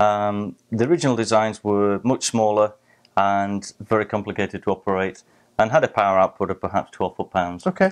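There is a plain, everyday voice from a man with a fairly low pitch. He talks at a moderate pace against a quiet background. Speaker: guest. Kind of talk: interview answer. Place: studio. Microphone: lapel.

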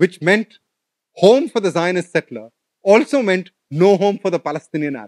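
Over a quiet background, a man speaks at a moderate pace in a high voice. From India (Delhi). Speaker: professor. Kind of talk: lecture. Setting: stage with audience. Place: hall. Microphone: podium.

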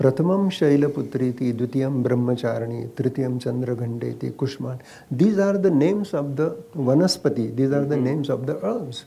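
In an Indian accent, a man talks at a fairly quick pace with a dark, mellow, somewhat breathy tone, a medium pitch and ordinary pitch variation. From India, Maharashtra. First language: Marathi. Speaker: Ayurvedic doctor; interviewee. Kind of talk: casual chat. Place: garden. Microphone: lapel.

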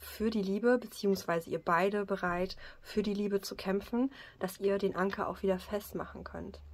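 A woman talks fairly slowly, her intonation staying fairly even. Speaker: card reader. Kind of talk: card reading commentary. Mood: calm, warm. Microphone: phone near.

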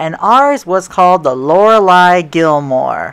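A woman speaks with lively intonation. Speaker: rail travel vlogger. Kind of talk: casual vlog commentary. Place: train.

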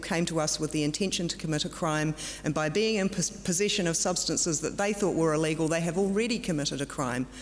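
A woman talks at a fast pace, her pitch fairly low with ordinary pitch variation, and background noise is clearly audible.

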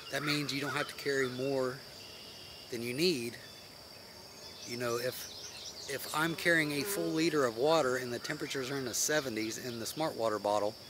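Speaking at a moderate pace with long, frequent pauses, a man comes through a dry sound with no echo over noticeable background noise. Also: ordinary pitch variation. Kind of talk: casual vlog chat. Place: forest. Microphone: phone near.

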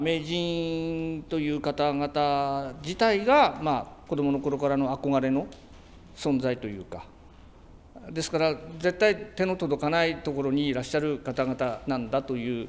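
At a fairly slow pace, a man talks with a fairly high pitch. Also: ordinary pitch variation. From Tsugaru, Aomori, Japan. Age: 60s. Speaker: nebuta float maker. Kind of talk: interview answer. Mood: humble, moved. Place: workshop.

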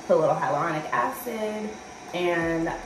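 Over noticeable background noise, a woman speaks in a fairly low voice. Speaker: vlogger. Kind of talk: casual vlog chat. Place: bathroom. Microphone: phone near.

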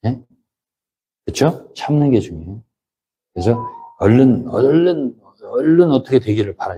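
With music in the background, a man at medium pitch speaks fairly slowly with lively intonation and long, frequent pauses. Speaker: pastor. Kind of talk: sermon. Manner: conversational, emphatic.

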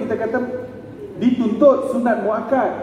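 Audible room echo and light background noise surround a man's speech. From Malaysia; Selangor, Malaysia. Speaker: preacher giving a religious talk. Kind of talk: religious lecture with personal anecdotes. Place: hall.

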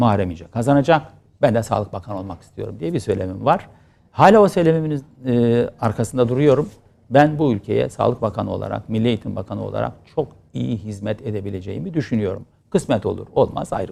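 A man talks at a very fast pace in a medium pitch, with vocal fry and a dark, mellow tone. His intonation is lively and his loudness swings widely. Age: 50s. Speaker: politician, former member of parliament. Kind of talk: interview.

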